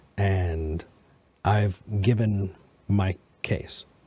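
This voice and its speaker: The man's voice is fairly low, dark and mellow, and somewhat breathy. He keeps his intonation fairly even. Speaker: podcast host. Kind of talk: debate.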